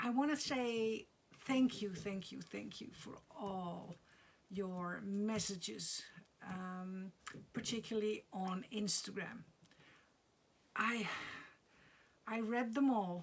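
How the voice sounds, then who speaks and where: A woman speaks at a very slow pace with long, frequent pauses, a medium pitch, a somewhat breathy sound and big swings in loudness. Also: ordinary pitch variation. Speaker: crafting vlogger. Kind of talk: casual vlog chat. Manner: halting, many fillers.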